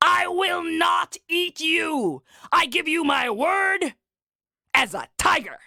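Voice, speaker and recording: A put-on character voice at an extremely high pitch moves along at a very slow pace. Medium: read story. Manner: wheedling then menacing.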